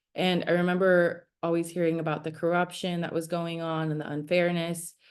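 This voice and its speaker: A woman speaks at a fairly low pitch in a Spanish accent. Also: quiet background. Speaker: startup founder. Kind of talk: presentation. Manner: animated storytelling.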